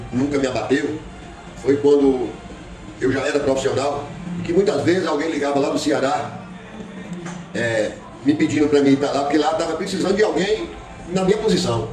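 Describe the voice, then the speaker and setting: Music plays in the background as a man with a fairly high pitch talks at a fairly quick pace, using ordinary pitch variation. His speech has long, frequent pauses, and the room echo is audible. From Brazil, Bahia (Poções). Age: 60s. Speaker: former footballer and physical education teacher. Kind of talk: interview. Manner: halting.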